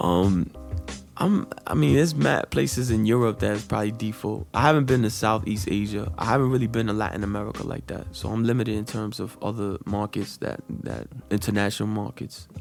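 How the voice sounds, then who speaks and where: Over music in the background, a man with a New York accent speaks at a fairly quick pace with lively intonation. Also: fairly low pitch for a man. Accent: New York area accent, natural. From Jersey City, New Jersey. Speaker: rapper. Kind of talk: casual chat.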